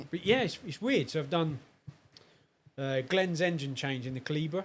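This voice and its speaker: A man with a southern English accent talks at a moderate pace. His fairly high voice has lively intonation. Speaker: car enthusiast. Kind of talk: casual chat.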